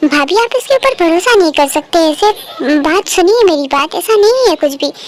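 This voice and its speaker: A put-on character voice at an extremely high pitch moves along at a moderate pace. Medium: read story. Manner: respectful, eager.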